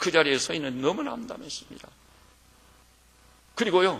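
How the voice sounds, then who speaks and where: A man talks fairly quickly, his words echoing audibly off the room. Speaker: pastor. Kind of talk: sermon. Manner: animated.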